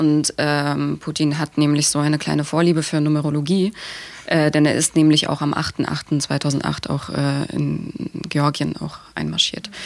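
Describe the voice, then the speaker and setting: Noticeable noise in the background accompanies a woman talking fairly slowly. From Germany, Dresden (Saxony). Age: 20s. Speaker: activist. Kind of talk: podcast interview.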